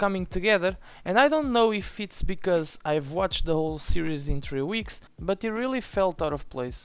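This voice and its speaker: The speaker has a non-native accent and keeps a moderate pace. The recording is very clean, with a silent background. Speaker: TV series reviewer. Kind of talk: opinion review voice-over.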